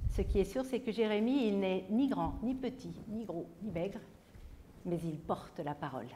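Dark, mellow tone with vocal fry, lively intonation, a fairly slow pace and light background noise. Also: woman. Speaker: biblical storyteller. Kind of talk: dramatic storytelling of a Bible episode, voicing mocking tavern men and the prophet; storytelling to an audience. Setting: stage with audience at a conference. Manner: vivid, suspenseful pacing with repeated refrains; shifts into taunting voices for jeering characters. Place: hall.

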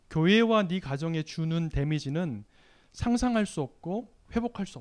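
A man's fairly high voice at a moderate pace, with lively intonation, against a quiet background. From South Korea. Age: 40s. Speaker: lay church leader and lecturer; lecturer. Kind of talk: sermon. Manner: halting, many fillers. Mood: warm, smiling. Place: church. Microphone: handheld.

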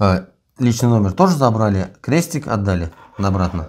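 Here a man speaks at a fairly low pitch with lively intonation. His pace is moderate. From Russia. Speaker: prisoner of war; interviewee. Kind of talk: interview. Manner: halting. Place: home room. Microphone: lapel.

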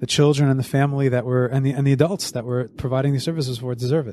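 A man with a New York accent talks at a very fast pace. His voice is medium in pitch with a dark, mellow tone. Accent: American English, New York area. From US Northeast (Monsey, NY; New Jersey). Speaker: summer camp executive director. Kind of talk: interview. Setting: studio.

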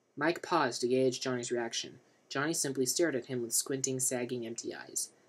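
Reading delivered in an unforced voice

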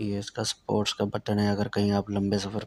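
This man speaks at a fairly slow pace with a fairly low pitch. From Pakistan, Saraiki-speaking south Punjab. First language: Saraiki (speaking Hindi). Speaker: driving instructor. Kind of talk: tutorial. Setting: in a car. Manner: casual. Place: car. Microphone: phone near.

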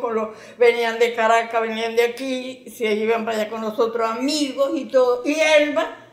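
With audible room echo, a woman speaks in a high pitch with ordinary pitch variation. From Venezuela, Yaracuy state (Yaritagua); Yaracuy, Venezuela. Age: 80s+. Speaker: elderly interviewee recalling family history; interviewee. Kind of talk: documentary interview, reminiscing. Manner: fluent, fond conversational tone. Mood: animated, nostalgic storytelling. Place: home room.

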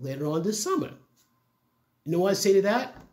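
A man's lively intonation stands out against a quiet background. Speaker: commentary vlogger. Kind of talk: casual opinion commentary. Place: home room.

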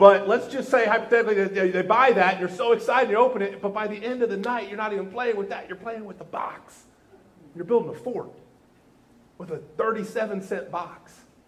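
The man's voice is high in pitch, with fairly even intonation. He talks at a fairly quick pace. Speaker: pastor. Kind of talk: sermon. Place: church.

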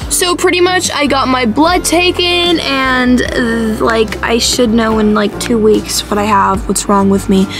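A woman with an American accent at a fairly slow pace, fairly high in pitch with very wide pitch swings, clear music in the background. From Arizona, USA. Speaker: vlogger. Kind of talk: casual vlog talk to camera. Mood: tired, whiny, playful. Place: car. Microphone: phone near.

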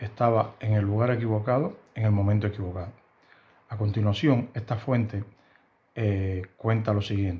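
This man speaks at a fairly low pitch with a dark, mellow tone. His voice is somewhat breathy and his intonation fairly even. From Cuba, Havana. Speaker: YouTuber commenting on Cuban news. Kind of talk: news commentary monologue. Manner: halting, with frequent fillers and repetitions. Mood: serious, concerned. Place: home room.

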